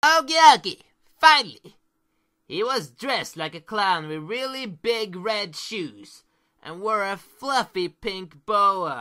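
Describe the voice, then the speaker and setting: A put-on character voice with a fairly high pitch moves at a fairly slow pace on a very clean recording with a silent background. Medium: audio drama. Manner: upbeat, playful.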